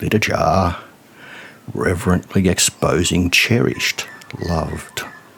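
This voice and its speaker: Through noticeable background noise, a man with a very deep, low pitch speaks at a very slow pace with fairly even intonation. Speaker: poet. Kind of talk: spoken word poetry.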